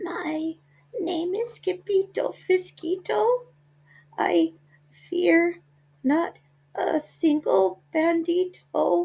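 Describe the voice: A put-on character voice at an extremely high pitch creeps along at a very slow pace with long, frequent pauses.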